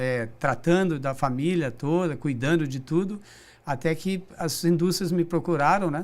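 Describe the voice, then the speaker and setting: Fairly high-pitched male voice at a fairly slow pace, with ordinary pitch variation. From Brazil, São José dos Campos (São Paulo state). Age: 60s. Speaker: business director, recycling company. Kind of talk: interview. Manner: halting, with repetitions.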